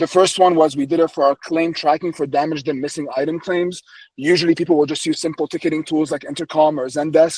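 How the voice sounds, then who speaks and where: Very fast speech in a monotone, flat intonation, with a dry, close sound and no echo. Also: man, fairly high pitch for a man. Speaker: company co-founder and operations executive. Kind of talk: webinar presentation. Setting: online webinar with screen sharing.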